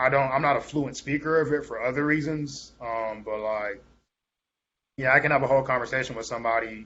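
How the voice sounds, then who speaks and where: Speaking in a medium pitch, a man keeps his intonation fairly even and moves at a fairly quick pace. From Tampa, Florida (Ghanaian family). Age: 20s. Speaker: spoken word artist and rapper. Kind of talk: podcast interview. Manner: casual, many fillers.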